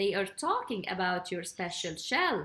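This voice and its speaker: At a moderate pace, a woman talks in a put-on character voice pitched in the medium range. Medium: read story. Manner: warm, motherly.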